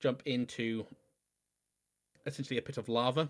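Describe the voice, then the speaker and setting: A man in monotone, flat intonation on a very clean recording with a silent background. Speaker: video game streamer. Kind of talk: gameplay commentary livestream. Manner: halting, self-correcting; mumbling to self.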